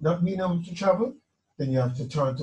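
Talking at a fairly quick pace, a man has a dark, mellow tone, a somewhat breathy sound and ordinary pitch variation. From Jamaica. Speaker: musician. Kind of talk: testimony. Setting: video call. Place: home room.

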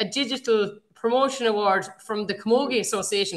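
With a bright, sharp tone and fairly high pitch, a woman speaks in a fairly even intonation against a quiet background. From Galway, Ireland. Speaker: podcast host. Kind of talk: casual chat. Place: home room. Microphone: webcam.

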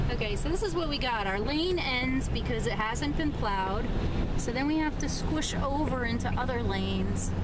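A woman at a moderate pace, dry sound with no echo, and loud background noise. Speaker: jeep vlogger on road trip. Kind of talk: casual vlog chat. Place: car. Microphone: phone near.

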